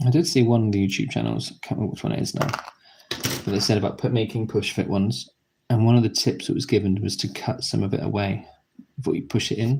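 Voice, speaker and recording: This man talks at a very fast pace in a British accent, with a fairly low pitch. There is vocal fry and ordinary pitch variation. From Britain. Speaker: YouTuber building model kits. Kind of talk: live stream commentary while building. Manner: casual, relaxed, with pauses.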